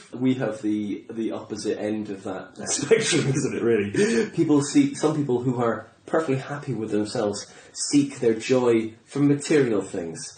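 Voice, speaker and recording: Noticeable background noise sits behind this recording. A man talks at a medium pitch with hardly any pauses. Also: ordinary pitch variation, moderate pace. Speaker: comedian. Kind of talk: casual conversation.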